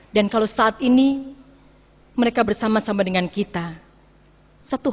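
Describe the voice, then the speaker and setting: A woman's somewhat breathy voice at a moderate pace. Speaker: pastor. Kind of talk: sermon. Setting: church.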